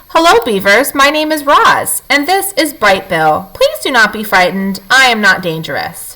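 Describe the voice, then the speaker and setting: Hardly pausing, a woman does a put-on character voice at a high pitch, with very wide pitch swings. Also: moderate pace. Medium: read story. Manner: formal, even, no contractions.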